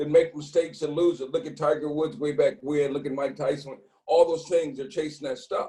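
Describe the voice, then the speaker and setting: A man with an unremarkable speaking voice, fairly high in pitch, with ordinary pitch variation and hardly any pauses. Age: 60s. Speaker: former pro football player, men's mentoring organizer. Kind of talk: video discussion panel.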